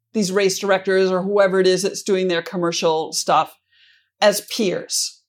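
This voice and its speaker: A normal speaking voice with an American accent, delivered at a moderate pace. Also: woman. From US Midwest, Minnesota. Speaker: sponsorship consultant. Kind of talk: interview.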